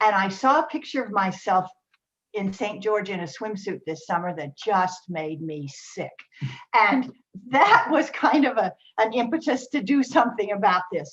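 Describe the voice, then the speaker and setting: Her medium-pitched, somewhat breathy voice moves at a moderate pace, with very wide pitch swings and big swings in loudness. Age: 70s. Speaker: weight-loss program client. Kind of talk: testimony.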